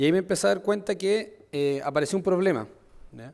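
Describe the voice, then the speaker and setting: A man is speaking. His pace is very fast. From Chile. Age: 20s. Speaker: entrepreneur. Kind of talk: conference talk.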